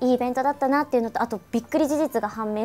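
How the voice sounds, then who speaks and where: A woman speaks at a high pitch. Faint music plays behind her. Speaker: voice actor. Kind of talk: radio show talk. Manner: casual, chatty. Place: studio.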